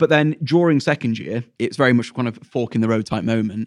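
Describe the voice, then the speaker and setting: Speaking at a moderate pace and a medium pitch, a man with a Yorkshire accent comes through in a very clean recording with a silent background and a dry, close sound with no echo. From Sheffield, England. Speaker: teacher. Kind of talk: interview.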